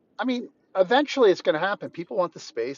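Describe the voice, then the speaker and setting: A man talking at a fairly quick pace. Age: 60s. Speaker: business owner. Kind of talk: interview. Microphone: lagging phone connection.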